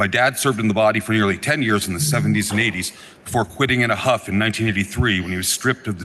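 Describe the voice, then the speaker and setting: Amid noticeable background noise, a man with a fairly low voice talks at a very fast pace with ordinary pitch variation. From Vermont (Norwich). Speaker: state legislator. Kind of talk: floor speech. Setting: legislative chamber.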